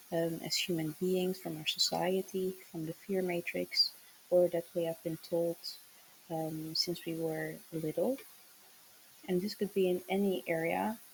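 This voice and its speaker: Fairly slow speech in a non-native accent. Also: woman, fairly low pitch for a woman, fairly even intonation. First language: not English. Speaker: tarot reader, spiritual channeler. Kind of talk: channeled tarot message. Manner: hesitant, many fillers.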